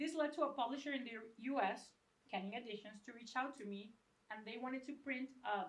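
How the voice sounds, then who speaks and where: There's audible room echo as a woman with a Venezuelan accent speaks. Her pace is moderate and her pitch varies in an ordinary way. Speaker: book designer and educator. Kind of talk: lecture. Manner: casual, joking.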